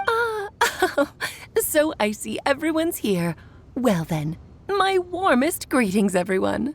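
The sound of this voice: A woman speaks slowly in a high, put-on character voice. Her pitch swings widely up and down.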